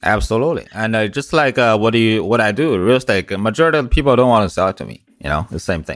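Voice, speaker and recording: A man with a strong Chinese accent and lively intonation, at a very fast pace with hardly any pauses, on a very clean recording with a silent background. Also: medium pitch for a man. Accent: heavy Mandarin Chinese. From China. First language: Mandarin Chinese. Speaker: business coach. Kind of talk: interview.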